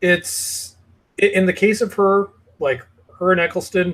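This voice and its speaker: The man's voice is high in pitch and his pace is moderate. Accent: Canadian. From Canada. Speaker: YouTube channel host. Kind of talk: casual chat. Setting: video call.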